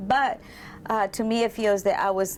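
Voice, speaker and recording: Speaking with a Salvadoran accent, a woman keeps a moderate pace and ordinary pitch variation. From El Salvador. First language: Spanish. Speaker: massage therapist and spa owner. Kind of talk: interview testimony. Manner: halting.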